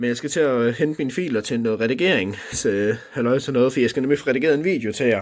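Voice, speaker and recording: This man's voice has a medium pitch. He gets through his words very fast. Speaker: vlogger. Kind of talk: casual vlog monologue. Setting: at home, own room. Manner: hesitant, many fillers.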